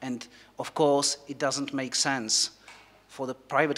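This man's voice sits at a medium pitch and moves at a moderate pace. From Czech Republic. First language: Czech. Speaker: company executive; panelist. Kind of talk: panel discussion. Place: hall.

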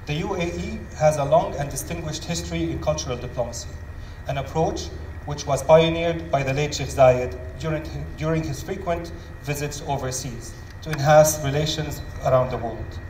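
A man with an Arabic accent at a moderate pace, with audible room echo and light background noise. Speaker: venue manager; panel moderator. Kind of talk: scripted welcome speech. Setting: stage with audience. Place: hall. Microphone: headset.

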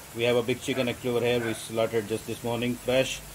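A man does the talking. Behind him there is light background noise. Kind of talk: cooking tutorial. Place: kitchen.

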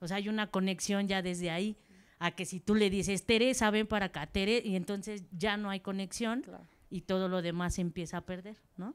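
A woman with a medium-pitched, plain, everyday voice. She talks at a fairly quick pace with fairly even intonation. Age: 40s. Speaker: football coach. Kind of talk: audience question. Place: hall.

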